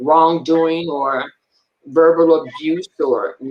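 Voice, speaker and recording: Her voice is a normal speaking voice, fairly low for a woman, with fairly even intonation. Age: 60s. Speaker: interviewer, retired military member and minister. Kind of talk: casual interview conversation.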